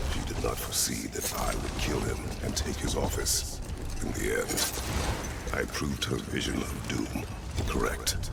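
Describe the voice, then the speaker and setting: A man in a put-on character voice, over loud background noise. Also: moderate pace. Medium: game stream. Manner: terse, grave.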